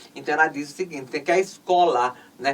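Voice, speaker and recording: With lively intonation, a woman talks at a moderate pace as noticeable background noise carries on. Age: 60s. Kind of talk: interview conversation. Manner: halting, many fillers.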